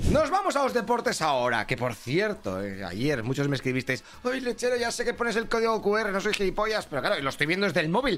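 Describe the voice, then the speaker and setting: With a Spanish accent and very wide pitch swings, a man speaks at a fairly quick pace against noticeable background noise. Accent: Peninsular Spanish. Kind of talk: news report. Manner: brisk, chatty, colloquial delivery with sarcastic, irreverent asides; fast-paced, rattling off headlines one after another.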